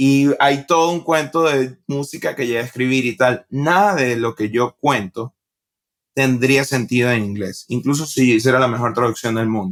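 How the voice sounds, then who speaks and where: With a Venezuelan accent, a man speaks at a moderate pace in a medium pitch with ordinary pitch variation. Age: 20s. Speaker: stand-up comedian. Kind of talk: podcast interview. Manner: casual.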